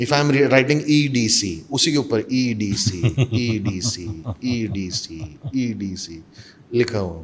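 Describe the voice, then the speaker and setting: A man speaks at a medium pitch with lively intonation and a somewhat breathy sound. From India, Mumbai. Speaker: mimicry artist and actor. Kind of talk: interview conversation.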